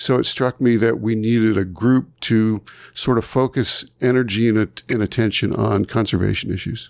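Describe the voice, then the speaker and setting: Here is a man with a plain, everyday voice at a medium pitch. He speaks at a moderate pace with fairly even intonation. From southern New York, rural area north of New York City. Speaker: conservation nonprofit founder and writer. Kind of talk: interview conversation.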